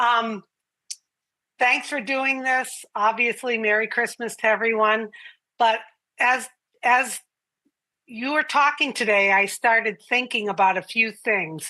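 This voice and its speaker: At a very slow pace with long, frequent pauses, a woman speaks in a bright, sharp tone at fairly high pitch with ordinary pitch variation. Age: 60s. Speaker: community member speaking on a live call. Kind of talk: live group call, personal reflection.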